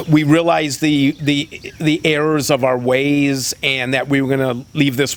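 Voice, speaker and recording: A man speaks at medium pitch. Noticeable background noise is present. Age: 60s. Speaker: state senator. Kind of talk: interview. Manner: halting, many repetitions.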